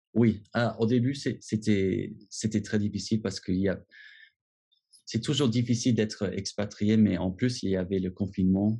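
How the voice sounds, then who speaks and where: Speaking at a moderate pace with long, frequent pauses, a man uses a fairly low pitch, a dark, mellow tone and fairly even intonation. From US, Washington. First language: English (speaking French). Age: 30s. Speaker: expat. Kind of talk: interview. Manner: halting, many repetitions.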